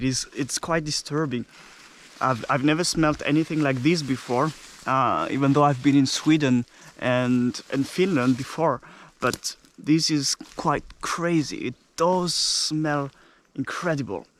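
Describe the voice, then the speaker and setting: In a French accent, a man speaks fairly slowly with a fairly high pitch and fairly even intonation. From France (Normandy). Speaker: travel vlogger. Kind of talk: casual vlog narration. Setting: outdoors. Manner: halting.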